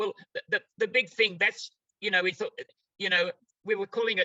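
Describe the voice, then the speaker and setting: The speaker is a man. He has an Australian accent. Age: 90s. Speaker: therapy method trainer. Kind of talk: interview.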